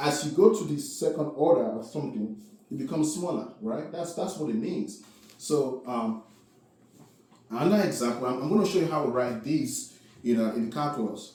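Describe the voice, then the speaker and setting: A man's fairly high voice at a moderate pace, lively intonation, with audible echo from the room. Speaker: math teacher. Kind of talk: lecture. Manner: filler-heavy, repetitive.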